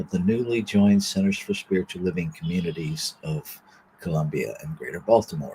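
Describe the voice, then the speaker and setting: A man speaks at a moderate pace with a fairly low pitch and very wide pitch swings. His tone is dark, mellow and somewhat breathy. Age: 60s. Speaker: minister. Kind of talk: reading and spiritual reflection. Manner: reflective, with fillers.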